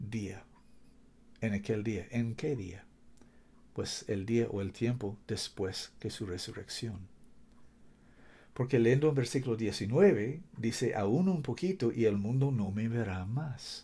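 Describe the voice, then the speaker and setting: Speaking at a very slow pace with long, frequent pauses, a man with a non-native accent uses lively intonation and a medium pitch, his tone dark, mellow and somewhat breathy. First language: not Spanish (speaking Spanish). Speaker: preacher. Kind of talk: sermon. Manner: halting, searching for words.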